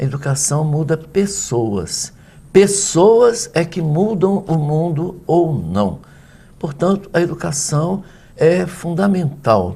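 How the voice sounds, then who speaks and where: Very slow and with lively intonation, a man speaks at a fairly high pitch in a dark, mellow tone. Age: 60s. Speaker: professor. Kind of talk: interview.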